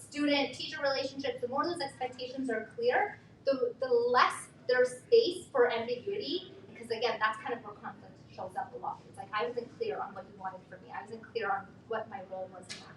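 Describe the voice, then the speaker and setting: Very wide pitch swings and big swings in loudness at a fairly quick pace, with noticeable background noise. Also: woman, high pitch for a woman. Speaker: workshop facilitator, mental health educator. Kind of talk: workshop talk. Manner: animated.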